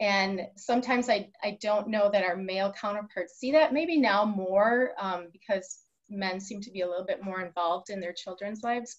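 A woman's somewhat breathy voice, ordinary in its pitch variation, against a quiet background. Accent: American. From Wisconsin (Waukesha); Wisconsin. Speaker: high school athletic director; podcast guest. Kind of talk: interview. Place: office. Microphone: webcam.

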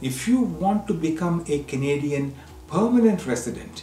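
Music plays in the background as a man talks at a very slow pace, with audible room echo. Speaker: news presenter. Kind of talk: news presentation. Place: studio.

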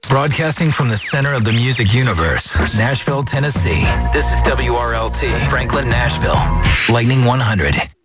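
The speech moves at a fairly quick pace. Loud music plays in the background. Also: dry sound with no echo. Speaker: radio announcer. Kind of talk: radio station ID. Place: studio. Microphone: studio mic.

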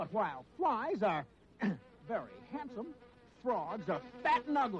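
Someone puts on a character voice with big pitch swings, a slightly husky edge and a fairly slow pace. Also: man, high pitch for a man.

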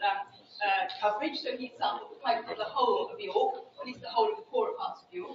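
In a room with audible echo and light background noise, a woman talks at a fairly quick pace in a high voice with very wide pitch swings. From United Kingdom. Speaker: social science researcher. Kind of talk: lecture. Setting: seminar room with audience. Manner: fast talker. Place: hall.

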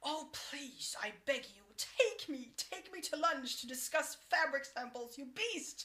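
A woman's husky, put-on character voice, high-pitched and fairly slow. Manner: breathless, theatrically seductive.

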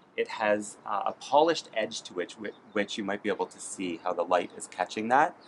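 Against light background noise, a man speaks at a moderate pace in a fairly low voice. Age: 30s. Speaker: eyewear buyer; eyewear buyer reviewing a frame. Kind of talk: product review. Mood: enthusiastic, warm. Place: street.

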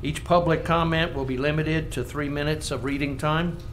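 Fairly quick, fairly high-pitched speech from a man in a monotone, flat intonation, with noticeable background noise. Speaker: planning commission chairman. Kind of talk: public meeting chairing.

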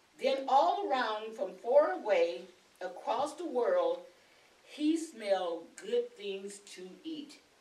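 With audible room echo, a woman speaks at a very slow pace, her pitch swinging very widely and her loudness shifting a lot. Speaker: storyteller reading to a class. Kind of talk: story read aloud. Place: classroom. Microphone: camera far.

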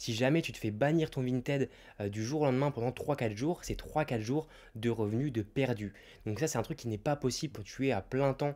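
A man's medium-pitched voice has a dark, mellow tone, ordinary pitch variation and a moderate pace. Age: 20s. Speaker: YouTuber and online reseller; YouTuber, online reseller. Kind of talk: YouTube advice monologue. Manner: casual, direct address. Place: home room. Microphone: handheld.

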